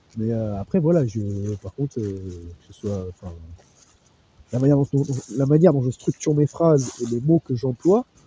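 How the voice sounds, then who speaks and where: A man with a medium-pitched voice speaks with lively intonation and long, frequent pauses. The sound is dry and close, with no echo. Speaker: SOC analyst. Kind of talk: testimony. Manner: fast; halting.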